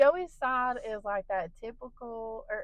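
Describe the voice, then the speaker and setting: Animated, with lively intonation, a woman speaks at a fairly high pitch and a fairly slow pace. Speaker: podcast co-host, mother. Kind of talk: casual chat. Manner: loud.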